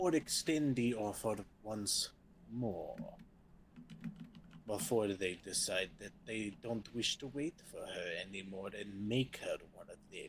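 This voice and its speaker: A man in a put-on character voice at a medium pitch, at a fairly slow pace with long, frequent pauses, amid clear background noise. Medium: actual play. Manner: formal, courteous.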